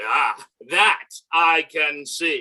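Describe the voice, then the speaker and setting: A middle pitch carries the put-on character voice. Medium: stage play. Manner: gentle, wry.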